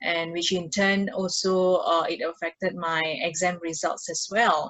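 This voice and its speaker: A woman at a fairly low pitch with a monotone, flat intonation, at a fairly slow pace. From Indonesia. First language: not English. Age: young. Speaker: mindfulness facilitator. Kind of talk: interview conversation. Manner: halting, many fillers.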